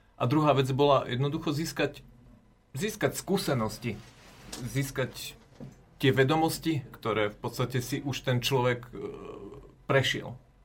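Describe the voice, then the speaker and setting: Somewhat breathy, fairly high male voice at a fairly slow pace, with ordinary pitch variation, big swings in loudness, and long, frequent pauses. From Slovakia, Žilina. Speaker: apprentice farmer. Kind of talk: interview.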